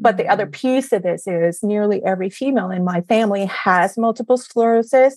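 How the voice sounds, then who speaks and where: On a very clean recording with a silent background and a dry, close sound free of echo, a woman in an unremarkable speaking voice talks at a fairly quick pace, her medium pitch showing ordinary variation. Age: 40s. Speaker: functional medicine practitioner. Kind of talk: casual interview.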